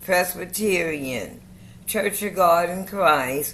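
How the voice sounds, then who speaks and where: Very slow delivery with ordinary pitch variation and audible room echo. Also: woman. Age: 70s. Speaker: community member sharing faith journey. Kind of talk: casual group chat. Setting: video call.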